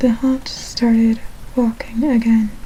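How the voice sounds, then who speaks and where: Speech at a fairly slow speed, with noticeable noise behind it. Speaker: ASMR channel host. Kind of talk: horror story reading from a book.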